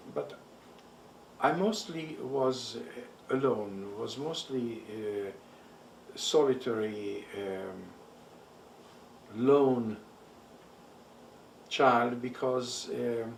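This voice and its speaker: In a Hungarian accent, a man speaks very slowly with long, frequent pauses amid noticeable background noise and audible room echo. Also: medium pitch for a man, ordinary pitch variation. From Transylvania, Romania (Hungarian-speaking). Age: 70s. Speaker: Holocaust survivor. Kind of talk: oral history interview. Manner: halting, many fillers.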